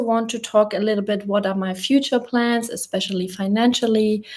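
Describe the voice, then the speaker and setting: With a German accent, a woman speaks at a fairly high pitch. Her intonation is fairly even. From Germany. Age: 30s. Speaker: YouTuber. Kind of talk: casual live chat. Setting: livestream from a rented apartment.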